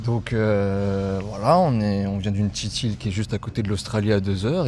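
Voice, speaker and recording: Speaking with a fairly low voice, a man is heard against noticeable background noise. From New Caledonia. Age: 20s. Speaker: travel vlog companion. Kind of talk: casual chat.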